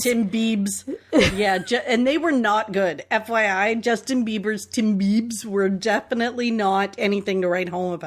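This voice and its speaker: A woman speaks at a moderate pace with a Canadian accent, in an ordinary speaking voice. Her fairly high pitch shows ordinary pitch variation. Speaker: podcast host. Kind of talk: casual podcast conversation.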